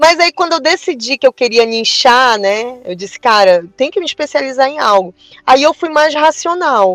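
Recorded dry and close with no echo, a woman speaks at a moderate pace in a high voice that swings very widely in pitch. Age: 40s. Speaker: eyebrow designer and beauty entrepreneur. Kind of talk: casual interview chat. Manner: animated.

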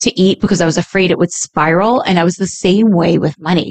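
With an American accent, the speaker uses a normal speaking voice and ordinary pitch variation. The sound is dry and close, with no echo. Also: woman. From New York (Staten Island). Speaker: podcast co-host, reality TV personality. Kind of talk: casual chat.

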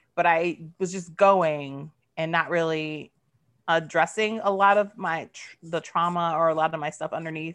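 A woman's fairly low-pitched voice, an ordinary speaking voice, at a moderate pace with fairly even intonation and big swings in loudness, over a quiet background. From US East Coast, military family, moved often. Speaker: writer and recovery podcaster. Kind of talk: casual interview.

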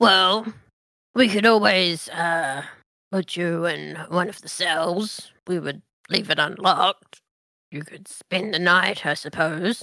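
A female-sounding, put-on character voice comes through raspy at a middle pitch. It moves at a fairly slow pace with long, frequent pauses. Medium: actual play. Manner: dry, measured, authoritative.

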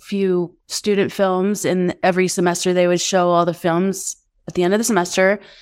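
A woman with an ordinary speaking voice talks at a moderate pace and medium pitch on a very clean recording with a silent background. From Denver, Colorado. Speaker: actress and singer-songwriter. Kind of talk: interview.

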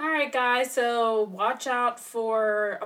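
A woman with a fairly high pitch talks at a very slow pace against noticeable background noise. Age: 30s. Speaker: podcast host. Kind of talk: casual chat.

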